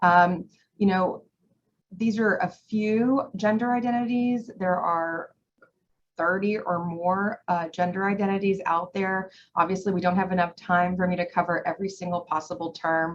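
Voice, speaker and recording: Somewhat breathy, a woman speaks at a moderate pace with a medium pitch and fairly even intonation. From Iran. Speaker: presenter on mental health. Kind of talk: educational presentation. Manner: casual, with many fillers.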